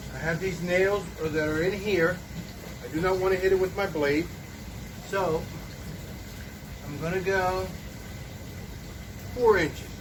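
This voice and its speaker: Over noticeable background noise and audible room echo, a man speaks at a high pitch with fairly even intonation. He goes at a fairly slow pace with long, frequent pauses. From Puerto Rico. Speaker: DIY woodworking youtuber. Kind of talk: tutorial.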